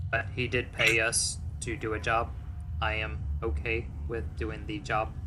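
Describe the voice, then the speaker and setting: A man uses a put-on character voice, fairly low in pitch, at a moderate pace. Long, frequent pauses break up his speech over loud background noise. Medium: actual play. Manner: formal, precise, avoids contractions.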